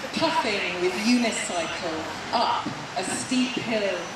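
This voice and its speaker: A woman speaks at a very slow pace, with audible room echo and loud background noise around her. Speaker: poet at rally. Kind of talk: poetry reading, spoken word tribute. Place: street. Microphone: camera far.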